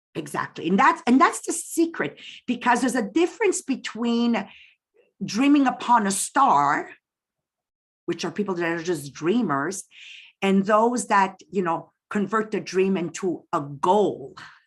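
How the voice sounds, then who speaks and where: A woman speaks fairly slowly in a somewhat breathy, medium-pitched voice with very wide pitch swings, on a very clean recording with a silent background. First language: French. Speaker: direct sales business leader. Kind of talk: interview.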